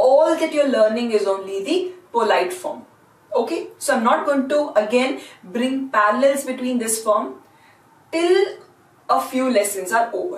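A woman with an Indian accent speaks at a fairly slow pace in a high voice that swings very widely in pitch, with audible room echo around her. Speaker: language teacher. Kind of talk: lecture. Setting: classroom. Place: classroom. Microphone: camera far.

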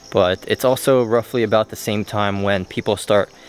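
At a moderate pace and with fairly even intonation, an unremarkable speaking voice comes through dry with no echo over light background noise. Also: man. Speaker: travel vlogger. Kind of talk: casual vlog chat. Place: forest. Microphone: phone near.

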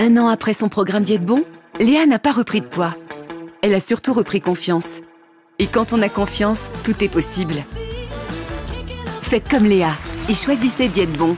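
A woman talks at a moderate pace, leaving long, frequent pauses. Clear music plays behind her, and the sound is dry with no echo. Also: lively intonation. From France. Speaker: voice actor. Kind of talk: TV commercial read. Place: studio. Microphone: studio mic.

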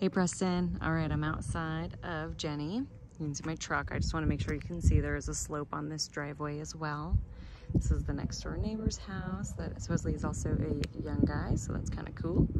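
Loud background noise surrounds a woman talking at a fairly quick pace, her voice dry with no echo. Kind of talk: casual walkthrough narration to a colleague. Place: street. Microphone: phone near.

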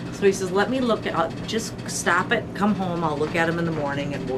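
A woman speaks at a fairly quick pace. Loud background noise runs underneath. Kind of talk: storytelling tour guide talk. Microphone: camera far.

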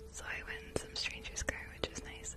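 In a whisper, a woman speaks. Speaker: ASMR streamer. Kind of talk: live ASMR stream chatting with viewers. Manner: soft-spoken, relaxing. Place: home room. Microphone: studio mic.

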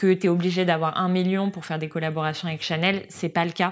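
A woman's fairly low, monotone voice with flat intonation. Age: 20s. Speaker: social media marketing worker at a luxury brand; guest. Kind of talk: casual chat.

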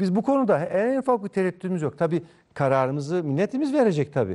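Over a quiet background, a dark, mellow voice races at a very fast pace with very wide pitch swings. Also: man. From Ankara, Turkey (Mamak); Turkey. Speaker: district mayor and politician; district mayor, politician. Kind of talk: TV news interview. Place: studio. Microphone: lapel.

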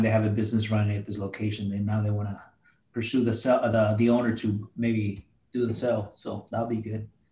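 Amid audible room echo, a man speaks fairly quickly at a fairly low pitch, somewhat breathy and in monotone, flat intonation. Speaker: real estate agent. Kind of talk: group coaching call. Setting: video call. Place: home room. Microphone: video call.

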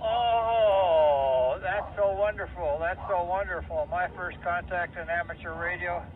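Noticeable background noise surrounds a man speaking at a very slow pace. His voice is high and shows ordinary pitch variation. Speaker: remote ham radio operator. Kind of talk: casual radio chat. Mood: warm, pleased. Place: home room. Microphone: two way radio.

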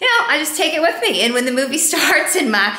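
Audible room echo hangs around a woman's voice as she talks. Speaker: vegan cooking vlogger. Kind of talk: casual vlog chat. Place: home room. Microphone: phone near.

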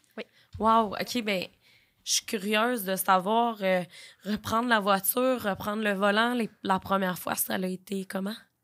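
The woman talks at a fairly slow pace with monotone, flat intonation. The background is quiet. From Quebec, Beauce; Quebec. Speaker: podcast host. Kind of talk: casual interview. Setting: studio. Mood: gentle, empathetic. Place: studio. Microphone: studio mic.

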